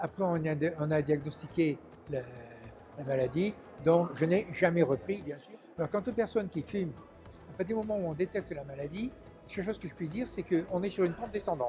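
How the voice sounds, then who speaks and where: A man speaks at a fairly quick pace in a high pitch, with ordinary pitch variation and big swings in loudness. Music plays in the background, and he leaves long, frequent pauses. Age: 70s. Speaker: patient giving testimony. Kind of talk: testimony. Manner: halting.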